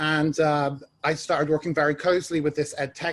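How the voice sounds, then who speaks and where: A somewhat breathy voice with a British accent at a moderate pace. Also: man. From England (London). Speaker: ed tech executive, alumni panelist. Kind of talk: panel discussion.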